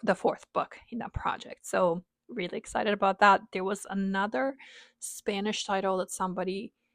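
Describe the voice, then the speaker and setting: Speaking with a non-native accent at a moderate pace, a woman of medium pitch sounds dry and close with no echo, on a very clean recording with a silent background. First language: not English. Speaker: book vlogger. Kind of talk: casual chat. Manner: hesitant, many fillers.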